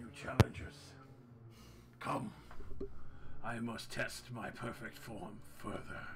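A booming, low-pitched put-on character voice at a fairly slow pace, with long, frequent pauses. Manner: commanding, grandiose.

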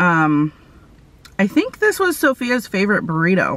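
A woman's voice comes through with a dry sound and no echo. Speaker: food vlogger. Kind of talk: casual vlog chat. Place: car. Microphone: phone near.

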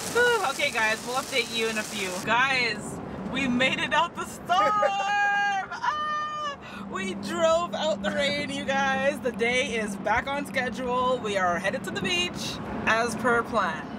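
Loud background noise fills a dry, echo-free recording of a woman talking at a fairly slow pace. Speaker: family vlogger. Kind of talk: casual vlog chat. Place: car. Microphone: phone near.

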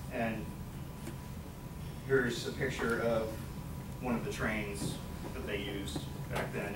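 A man is speaking. Loud background noise surrounds him. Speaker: college student. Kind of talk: class presentation speech. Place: classroom. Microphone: camera far.

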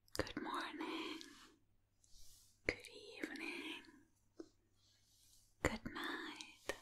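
Whispering at a very slow pace, a woman speaks with long, frequent pauses. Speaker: ASMR creator. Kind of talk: ASMR talk to camera. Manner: soft-spoken, whispered. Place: home room. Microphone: studio mic.

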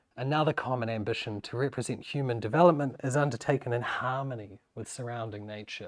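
A fairly quick New Zealand accent, with ordinary pitch variation, big swings in loudness, and a quiet background. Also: man. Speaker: university lecturer. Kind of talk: academic lecture. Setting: seminar room with audience. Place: classroom.

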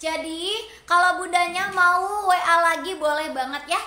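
A woman's raised, projected voice, extremely high in pitch and bright, sharp in tone, at a fairly slow pace with audible room echo. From Cirebon, West Java. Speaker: online seller. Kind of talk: live-stream sales pitch. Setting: live stream to online audience. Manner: warm, chatty, effusive. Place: shop. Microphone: phone near.

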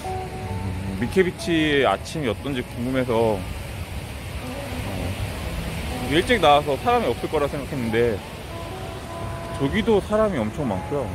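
Music plays in the background of a dry recording with no echo. A man speaks at a fairly slow pace with long, frequent pauses and very wide pitch swings. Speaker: travel vlogger. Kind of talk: casual vlog chat. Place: beach. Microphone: phone near.

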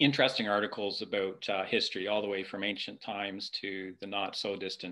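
A man's fairly low-pitched voice with a bright, sharp tone at a moderate pace

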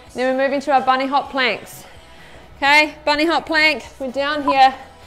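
Faint music plays in the background as a woman with a high pitch speaks at a moderate pace. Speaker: fitness instructor. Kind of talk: workout class instruction. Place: studio.

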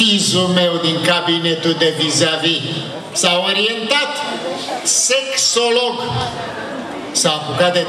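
In a room with audible echo and noticeable background noise, a man with high pitch and ordinary pitch variation speaks at a very slow pace. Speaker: comedian performing a dentist sketch. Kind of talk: comedy monologue. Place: stage.

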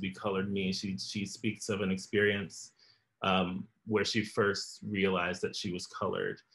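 Here a man speaks with an American accent. He keeps a moderate pace. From US South (Florida). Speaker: choreographer and dancer. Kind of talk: interview conversation. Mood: calm, reflective. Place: home room. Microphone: video call.

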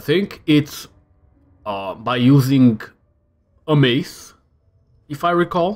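A man at a very slow pace with lively intonation. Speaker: gaming video creator. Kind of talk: let's play commentary. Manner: casual rambling.

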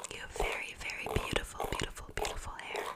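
A soft-spoken woman whispers. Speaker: ASMR creator. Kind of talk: soft-spoken ASMR roleplay. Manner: soft close-mic ASMR whisper. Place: home room. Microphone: studio mic.

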